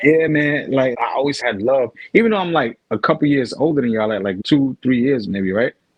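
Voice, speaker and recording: The man talks fairly quickly, his voice pitched in the medium range. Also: lively intonation. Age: 40s. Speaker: painter. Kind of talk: casual chat. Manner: animated.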